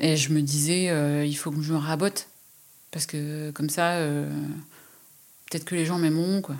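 A woman with a very deep, low voice speaks in a monotone, flat intonation with long, frequent pauses, on a very clean recording with a silent background. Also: moderate pace. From rural France. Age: 40s. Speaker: freelance writer and artist. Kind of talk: interview. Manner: hesitant, many fillers.

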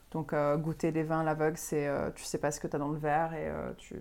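A woman's very deep, low voice carries a dark, mellow tone and a monotone, flat intonation at a fairly quick pace. The recording is very clean, with a silent background. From Quebec, Montreal. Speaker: sommelier and restaurant owner. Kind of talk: casual interview.

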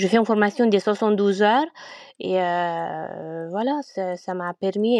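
A woman with a Romanian accent speaks at a very slow pace, with ordinary pitch variation and a quiet background. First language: Romanian (speaking French). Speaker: winegrower. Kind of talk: interview. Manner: hesitant.

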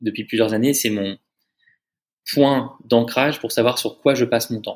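The man's voice sits at a medium pitch, moving at a moderate pace with fairly even intonation. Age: 30s. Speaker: startup founder and CEO. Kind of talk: casual interview.

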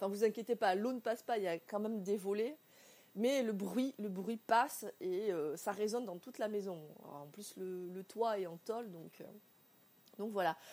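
A woman's dark, mellow voice with big swings in loudness. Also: medium pitch for a woman, ordinary pitch variation, moderate pace. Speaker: podcaster. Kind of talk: personal monologue. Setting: indoors at home. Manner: halting.

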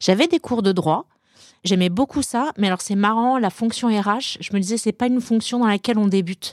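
A woman speaks in a plain, everyday voice at a fairly quick pace with ordinary pitch variation. The recording is very clean, with a silent background and a dry, close sound with no echo. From Brittany, France. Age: 40s. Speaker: HR director. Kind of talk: interview.

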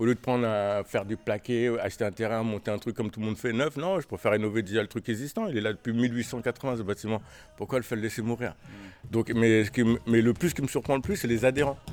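With ordinary pitch variation around a medium pitch, the man rattles off his words at a very fast pace. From Paris. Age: 50s. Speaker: boxing coach. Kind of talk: casual chat. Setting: gym.

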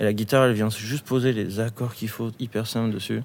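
A man at medium pitch, very fast and monotone, his intonation flat. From rural France near Bordeaux. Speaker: rock musician. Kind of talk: casual chat. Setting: on stage of an opera house. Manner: casual.

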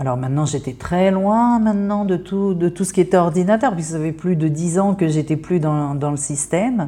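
The voice has a dark, mellow tone and ordinary pitch variation. It moves at a moderate pace with hardly any pauses. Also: woman, fairly low pitch for a woman. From France. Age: 50s. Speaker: therapist. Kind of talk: interview monologue. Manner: hesitant.

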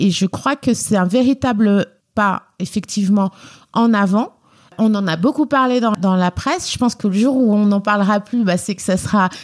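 On a very clean recording with a silent background, a woman speaks at a moderate pace with medium pitch and ordinary pitch variation. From France, Lyon (family roots in Guinea). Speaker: member of parliament. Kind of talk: interview. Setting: office at the parliament.

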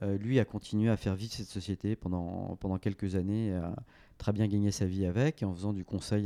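A man's dark, mellow, fairly low voice at a moderate pace, fairly even in intonation, dry and close with no echo over a quiet background. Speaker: venture capital investor and former entrepreneur. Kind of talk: interview conversation. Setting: coworking space office.

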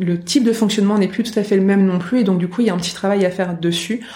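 Over noticeable background noise, a woman talks at a very fast pace. Her pitch is medium and her intonation fairly even. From northern France. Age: 30s. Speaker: orientation and mobility instructor. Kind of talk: interview. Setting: in person at her workplace.

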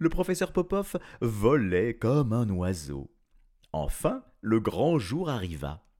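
A passage read aloud in a natural voice

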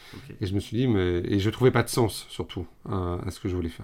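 The speech moves at a moderate pace with ordinary pitch variation, captured on a very clean recording with a silent background. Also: man. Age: 30s. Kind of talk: interview conversation. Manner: hesitant, many fillers and repetitions.

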